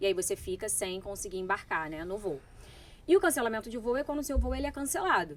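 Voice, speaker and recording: Speaking very fast with vocal fry, a woman at medium pitch lets her voice swing very widely up and down. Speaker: lawyer. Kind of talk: interview.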